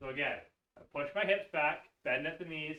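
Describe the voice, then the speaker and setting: Bright and sharp in tone, a man's voice moves fairly slowly with lively intonation. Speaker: fitness instructor. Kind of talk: workout class instruction. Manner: instructive, cueing.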